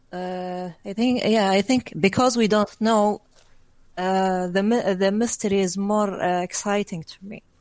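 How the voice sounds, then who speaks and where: A normal speaking voice moves at a fairly slow pace. The loudness swings widely, while the intonation stays fairly even. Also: woman, medium pitch for a woman. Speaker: guest, gaming commentator. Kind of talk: casual chat, gaming podcast.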